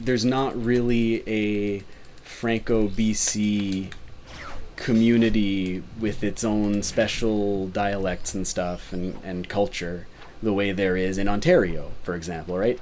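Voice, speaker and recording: With audible room echo, a man of fairly low pitch talks at a very slow pace with fairly even intonation. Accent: Canadian. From British Columbia, Canada. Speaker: speedrunner streamer. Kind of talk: live gameplay commentary. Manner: casual, rambling with fillers.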